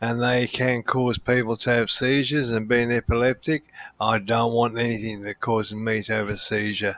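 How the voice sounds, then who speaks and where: The dry, close sound with no echo carries a man's medium-pitched voice in a monotone, flat intonation. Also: moderate pace. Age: 60s. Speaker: podcast panel regular. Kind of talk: casual chat.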